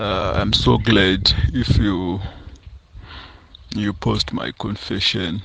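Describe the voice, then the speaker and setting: A man with a very deep, low voice and a Zimbabwean accent, over noticeable background noise. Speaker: confession sender, construction worker. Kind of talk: first-person confession. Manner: halting, many repetitions and fillers.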